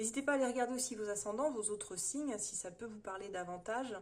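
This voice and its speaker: This woman talks at a very fast pace. Her pitch varies in an ordinary way. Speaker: tarot reader. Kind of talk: monthly horoscope tarot reading. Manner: hesitant, many fillers.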